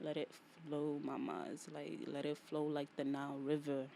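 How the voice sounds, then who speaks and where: A woman speaks very slowly in a very deep, low voice with a dark, mellow tone. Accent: American. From New York. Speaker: podcast host. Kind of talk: solo podcast monologue. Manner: casual, repetitive.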